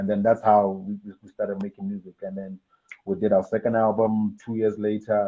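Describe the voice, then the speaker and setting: A man with a fairly low pitch talks at a fairly quick pace in a monotone, flat way. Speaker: rapper and music producer. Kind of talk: interview, casual chat.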